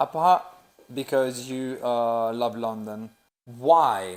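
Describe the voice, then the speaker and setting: In a very clean recording with a silent background, a man talks at a very slow pace and medium pitch with ordinary pitch variation. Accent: Italian. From Sicily, Italy. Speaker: personal trainer. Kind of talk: casual podcast chat.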